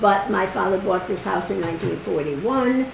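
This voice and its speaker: Through audible room echo and noticeable background noise, a woman speaks at a medium pitch. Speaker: interviewee sharing local memories. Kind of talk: casual interview. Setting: at home. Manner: halting.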